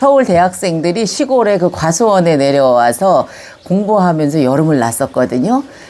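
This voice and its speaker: A dark, mellow tone at a fairly slow pace, with very wide pitch swings. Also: woman. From Gyeonggi Province, Yongin (South Korea). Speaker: senior recounting her life story. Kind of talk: autobiographical storytelling to camera. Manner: conversational, reflective.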